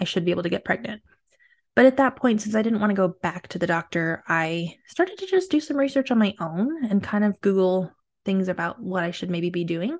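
At a very fast pace, a woman speaks at medium pitch with a warm, somewhat breathy tone and lively intonation. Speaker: fertility coach and podcast host. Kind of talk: personal storytelling monologue. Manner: warm, conversational.

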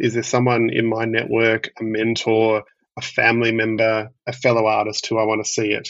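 Speaking with an Australian accent, a man keeps a very even loudness and a monotone, flat intonation. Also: medium pitch for a man, moderate pace. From Melbourne, Australia. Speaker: theatre producer. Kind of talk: interview. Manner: halting.

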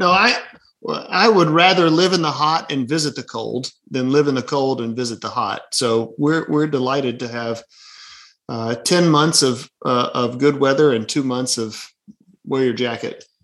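A man with a Southern US accent at a medium pitch and moderate pace, ordinary pitch variation, quiet background. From Birmingham, Alabama. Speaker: pastor. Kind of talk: casual chat.

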